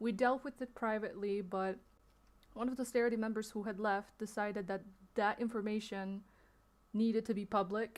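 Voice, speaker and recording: The speaker moves at a moderate pace in a flat monotone, broken by long, frequent pauses. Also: woman, fairly high pitch for a woman. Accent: non-native. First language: not English. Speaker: streamer. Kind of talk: livestream statement addressing allegations. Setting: livestream. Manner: hesitant, many fillers.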